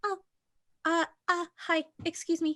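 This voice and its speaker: A woman performs a put-on character voice that is squeaky and extremely high in pitch. Her intonation stays monotone and flat. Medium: actual play. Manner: hesitant, soft.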